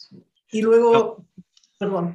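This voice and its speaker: A woman's dark, mellow tone, somewhat breathy. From Peru, Ayacucho. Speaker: journalist and writer. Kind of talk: interview. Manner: halting, with frequent repetitions.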